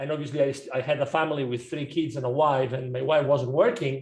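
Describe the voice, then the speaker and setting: A man speaks at a fairly quick pace in a somewhat breathy voice. His pitch is fairly high, and his intonation stays fairly even. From Spain. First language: Spanish. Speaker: business coach. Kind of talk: podcast interview. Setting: remote call.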